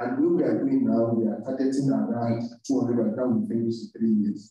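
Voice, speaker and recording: A man with a Nigerian accent at a fairly slow pace, very wide pitch swings and strong room echo. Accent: Nigerian (Yoruba) English. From Nigeria (Yoruba). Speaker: university lecturer, programme coordinator; university lecturer. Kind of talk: lecture. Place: classroom.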